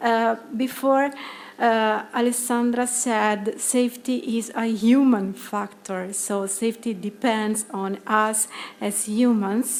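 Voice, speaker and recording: A woman with an Italian accent, fairly high in pitch, with fairly even intonation and a very slow pace. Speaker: psychologist and project lead presenting at conference. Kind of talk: conference presentation. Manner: hesitant, many fillers.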